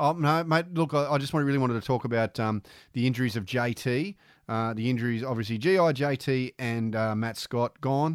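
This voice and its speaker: A man's normal speaking voice, medium in pitch with ordinary pitch variation, at a fairly quick pace, dry and close with no echo. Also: very clean recording, silent background. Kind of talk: casual mates' banter, laughing at himself. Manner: wry, quick, easygoing, self-deprecating.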